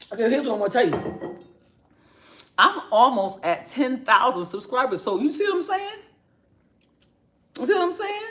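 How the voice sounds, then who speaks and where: The speaker has an American accent and keeps a moderate pace. Long, frequent pauses run through the speech. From New York. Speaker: YouTuber. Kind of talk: casual live stream chat. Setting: home kitchen.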